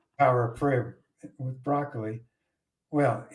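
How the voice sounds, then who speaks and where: A man's somewhat breathy, medium-pitched voice with a slight Boston accent. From Boston area, US. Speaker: podcast co-host. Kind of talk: casual chat.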